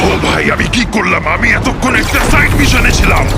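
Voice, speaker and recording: Over loud music in the background, a man performs a put-on character voice at a fairly quick pace. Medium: dub.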